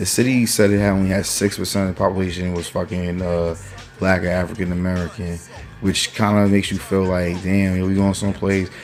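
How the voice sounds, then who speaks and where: In a New York accent, a man talks at a very fast pace with an animated tone and a very deep, low pitch. Noticeable background noise sits behind him. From New York (Mount Vernon). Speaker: political commentary vlogger. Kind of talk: casual opinion rant. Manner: animated, profanity-laden, frequent fillers.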